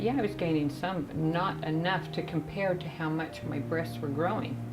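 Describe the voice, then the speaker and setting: A woman's very deep, low voice at a fairly quick pace, with fairly even intonation, audible room echo and music in the background. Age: 60s. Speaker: cosmetic surgery patient. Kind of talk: testimony.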